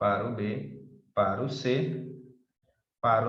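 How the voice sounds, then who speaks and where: There is audible room echo around a man's voice. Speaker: math teacher. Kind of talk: lecture.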